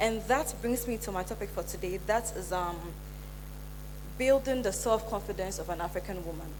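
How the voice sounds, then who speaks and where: A woman talks at a moderate pace, with noticeable background noise and audible room echo. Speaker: motivational speaker, event planner. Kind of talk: conference talk. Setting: stage with audience. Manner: halting.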